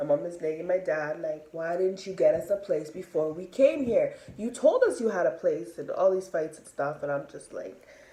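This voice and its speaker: A woman speaks at a moderate pace, her loudness swinging widely. Noticeable background noise sits behind her. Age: 20s. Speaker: vlogger. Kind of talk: personal storytelling monologue. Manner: casual, many fillers.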